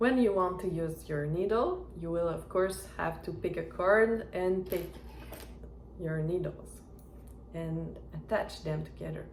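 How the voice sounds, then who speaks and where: Over noticeable background noise, a woman with a non-native accent speaks at a fairly slow pace. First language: not English. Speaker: knitting reviewer. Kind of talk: product review talk to camera. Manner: hesitant.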